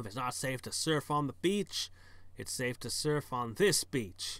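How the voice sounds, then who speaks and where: A man's gruff, growling put-on character voice, fairly high in pitch, with lively intonation at a moderate pace. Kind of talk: gameplay commentary reading game text. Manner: gruff, defiant.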